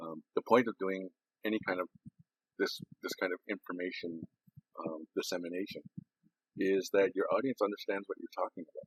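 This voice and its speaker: A man speaks at a moderate pace with long, frequent pauses, the sound dry and close with no echo. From Six Nations, Ontario, Canada. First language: Haudenosaunee language (transcribed as Kruger). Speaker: addictions counselor. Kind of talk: recorded presentation. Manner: halting, stopping and restarting sentences.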